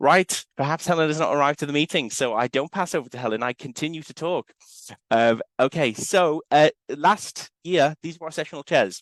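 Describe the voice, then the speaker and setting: Over a quiet background, a man in a Liverpool accent talks at a fairly quick pace with ordinary pitch variation, the sound dry and close with no echo. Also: fairly high pitch for a man. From northern England, Liverpool. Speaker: university lecturer. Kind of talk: conference presentation.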